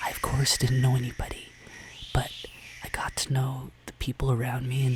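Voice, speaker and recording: A soft-spoken man talks in a calm tone at a moderate pace with a medium pitch. Noticeable background noise can be heard. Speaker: travel vlogger. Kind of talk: ASMR travel story narration. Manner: soft-spoken, calm.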